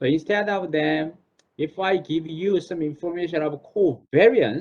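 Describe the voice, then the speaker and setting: With a Korean accent, a man speaks at a fairly slow pace in a fairly high pitch. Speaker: professor. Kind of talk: online class Q&A. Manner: halting.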